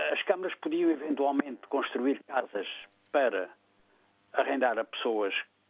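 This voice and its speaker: This is a man speaking. He talks at a fairly slow pace. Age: 60s. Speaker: caller. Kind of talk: phone-in opinion. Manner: halting, with repetitions.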